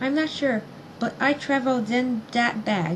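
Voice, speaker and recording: Over clear background noise, a woman does a squeaky, high-pitched put-on character voice at a moderate pace. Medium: read story.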